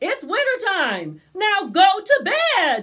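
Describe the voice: A woman performs a put-on character voice at an extremely high pitch with very wide pitch swings. Her tone is fairly bright and her pace slow.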